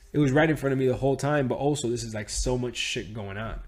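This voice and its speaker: A man talks in an animated tone. His voice is somewhat breathy. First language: Spanish. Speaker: trading teacher. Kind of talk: tutorial. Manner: casual, animated.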